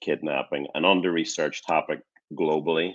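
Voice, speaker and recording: Over a quiet background, a man speaks with an American accent. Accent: Northern Irish, said to sound a bit American. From Northern Ireland. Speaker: academic researcher. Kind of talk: lecture.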